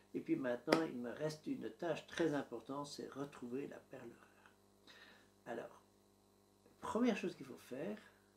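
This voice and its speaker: A man with a fairly high pitch talks at a moderate pace with lively intonation, big swings in loudness and long, frequent pauses. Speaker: YouTuber documenting home building. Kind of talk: vlog narration to camera. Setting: home office.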